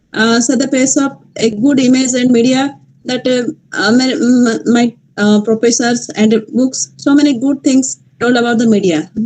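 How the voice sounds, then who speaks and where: A woman speaks in an Odisha accent. Her pitch is high and her pace moderate. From Malkangiri, Odisha, India. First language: Odia. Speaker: journalist. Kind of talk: panel discussion talk. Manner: halting, many hesitations.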